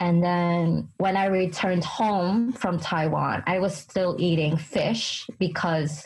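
Here a woman speaks with a New York accent at a fairly low pitch. Her pace is very slow. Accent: New York American English. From US, New York City. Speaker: English teaching assistant. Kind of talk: casual chat. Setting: video call between Japan and America.

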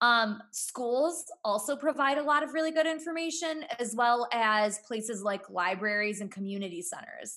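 Loud and bright with a sharp tone, a woman with an American accent speaks at a moderate pace in a high pitch, with lively intonation and hardly any pauses. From US Midwest, Cleveland area. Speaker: entrepreneur and author. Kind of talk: casual interview.

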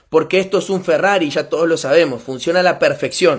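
With a Rioplatense accent, a man speaks animatedly at a fairly quick pace in a high pitch. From Argentina. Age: 20s. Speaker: network marketing motivational speaker. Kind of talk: motivational talk.

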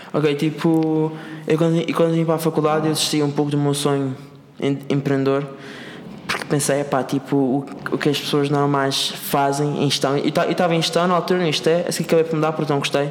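Over noticeable background noise, a man with a fairly high pitch talks at a fairly quick pace, his intonation monotone and flat and his loudness very even. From Madeira, Portugal. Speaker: entrepreneur. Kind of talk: casual interview. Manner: halting, repetitive.

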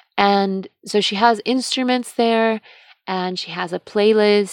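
A woman speaks in a normal speaking voice at a fairly slow pace with fairly even intonation, recorded very cleanly against a silent background. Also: dry, close sound with no echo. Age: 30s. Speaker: podcast host and yoga instructor. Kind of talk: solo monologue podcast.

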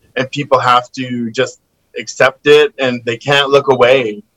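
In a Western Canadian accent, a man speaks with a fairly high pitch, a bright, sharp tone and fairly even intonation, recorded dry and close with no echo. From Kamloops, British Columbia, Canada. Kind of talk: casual chat.

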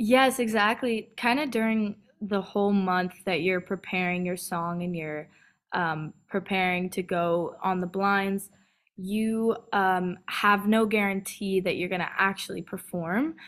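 A woman with an American accent speaks at medium pitch and a fairly slow pace. Her pitch variation is ordinary, and the recording is very clean with a silent background. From California, US. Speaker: singer-songwriter. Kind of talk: casual interview. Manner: many fillers, upbeat.

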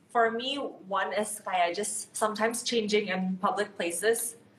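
Noticeable background noise surrounds this recording. A woman speaks at a fairly high pitch. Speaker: podcast host. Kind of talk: casual chat. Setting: video call.

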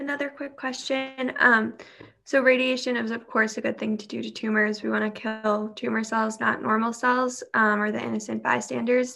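A plain, everyday voice, a woman's, fairly high in pitch with an American accent, at a moderate pace with fairly even intonation. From New York. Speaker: cancer survivor and student panelist. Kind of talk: panel Q&A.

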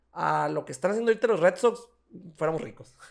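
A man talks with a high pitch. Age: 30s. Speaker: sports podcast host. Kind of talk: casual chat.

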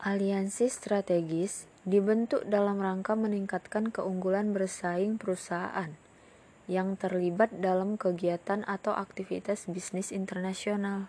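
A woman's dark, mellow voice at medium pitch, monotone and flat, at a fairly slow pace with hardly any pauses. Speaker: university student. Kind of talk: class presentation. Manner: formal.

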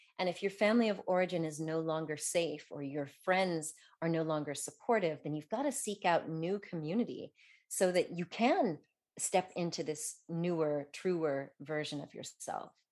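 An ordinary speaking voice at a moderate pace, ordinary pitch variation, quiet background. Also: woman, fairly low pitch for a woman. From Colorado, US. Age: 50s. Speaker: doctor and author. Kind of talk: interview.

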